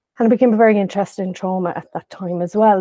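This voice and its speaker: The voice carries a dark, mellow tone and a western Irish accent, with fairly even intonation. The sound is dry and close with no echo. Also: woman. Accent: Irish (west of Ireland). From Ireland, County Galway. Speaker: psychotherapist. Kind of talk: casual interview.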